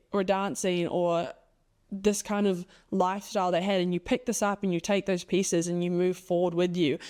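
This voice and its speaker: A woman's medium-pitched, animated voice at a fairly quick pace on a very clean recording with a silent background. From New Zealand. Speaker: podcast host. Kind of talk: solo podcast monologue.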